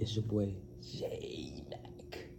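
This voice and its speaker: Audible room echo surrounds a man speaking at a fairly low pitch. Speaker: youth basketball advice vlogger. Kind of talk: casual vlog advice. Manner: soft-spoken, quieter than usual; animated.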